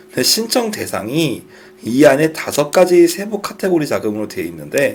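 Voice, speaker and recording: Very wide pitch swings mark this man's fairly slow speech. Noticeable background noise is present. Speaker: startup funding instructor. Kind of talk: lecture.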